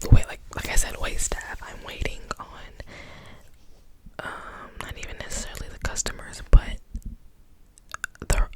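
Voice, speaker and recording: Noticeable background noise is present. Through it, a woman whispers at a fairly slow pace. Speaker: ASMR creator who works as restaurant wait staff. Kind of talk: asmr whisper ramble storytime. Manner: whispered, soft-spoken, rambling, casual.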